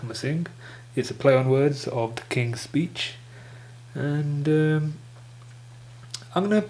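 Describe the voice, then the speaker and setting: This man talks at a very slow pace, his voice pitched fairly high. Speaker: stuttering vlogger. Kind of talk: casual talk to camera.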